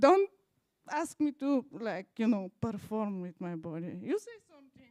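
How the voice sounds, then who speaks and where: With a dark, mellow tone and a dry, close sound free of echo, the voice moves at a fairly slow pace, making big swings in loudness and very wide pitch swings. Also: woman, fairly high pitch for a woman. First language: German. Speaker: art historian and documentary filmmaker. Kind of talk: presentation at live event. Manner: halting.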